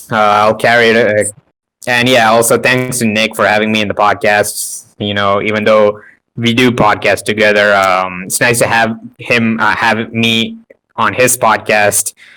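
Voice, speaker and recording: With music playing in the background, a man speaks in a fairly low, flat monotone. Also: moderate pace. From India. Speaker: anime fan and podcaster. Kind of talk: casual chat. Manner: mumbling.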